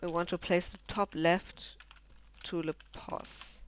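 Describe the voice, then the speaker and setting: A very slow delivery with a non-native accent. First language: not English. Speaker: programming tutorial creator. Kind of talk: tutorial. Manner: halting, many fillers. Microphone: poor recording quality.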